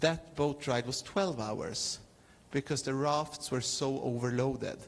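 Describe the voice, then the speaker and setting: A man with a non-native accent, at a very slow pace with ordinary pitch variation. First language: not English. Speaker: clown performer. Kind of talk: talk with audience Q&A. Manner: halting.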